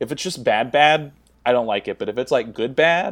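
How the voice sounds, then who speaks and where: Silence sits behind a very clean recording. A man's moderate pace carries ordinary pitch variation. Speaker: guest who presents a movie. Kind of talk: casual chat about movies. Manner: animated, casual, filler-heavy.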